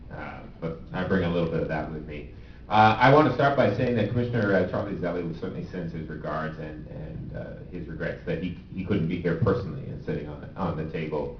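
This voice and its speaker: A man with an American accent and a very deep, low pitch speaks at a fairly quick pace with lively intonation and big swings in loudness. The recording has audible room echo and noticeable background noise. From Southern Maryland. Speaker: state transportation official. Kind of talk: panel discussion.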